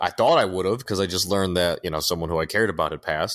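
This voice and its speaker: A man's very deep, low voice comes through on a very clean recording over a silent background. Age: 30s. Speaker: podcast co-host. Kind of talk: casual chat.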